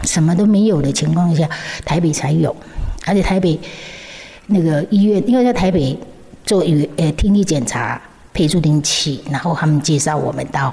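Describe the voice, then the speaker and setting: Amid noticeable background noise, a woman at a fairly low pitch speaks at a moderate pace, with ordinary pitch variation and long, frequent pauses. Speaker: founder of charity for deaf children. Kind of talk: interview. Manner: halting, repeats words.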